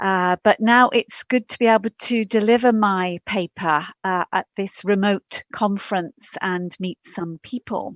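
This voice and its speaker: A woman with an English accent talks at a fairly slow pace with hardly any pauses, her medium pitch held in fairly even intonation, recorded dry and close with no echo over a quiet background. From England. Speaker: professor. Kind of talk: conference talk. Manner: halting.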